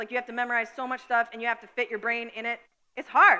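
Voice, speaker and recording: A bright, sharp tone in a woman's raised, projected voice. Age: 30s. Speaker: pastor. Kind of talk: sermon. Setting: church.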